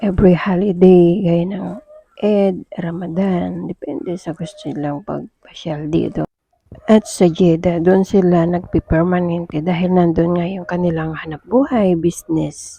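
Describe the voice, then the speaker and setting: A woman speaks at a fairly slow pace with a fairly low pitch and a dark, mellow tone. Her intonation is fairly even, her loudness swings widely, and the sound is dry and close with no echo. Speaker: overseas domestic worker vlogger. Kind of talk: casual vlog.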